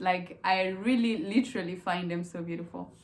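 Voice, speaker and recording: The pace is moderate, with ordinary pitch variation. Noticeable background noise can be heard. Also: woman. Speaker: YouTuber. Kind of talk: casual chat.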